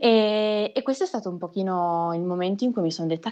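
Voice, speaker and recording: Against a quiet background, a woman speaks at medium pitch and a moderate pace in a dark, mellow tone. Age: 20s. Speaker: magician. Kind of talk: interview.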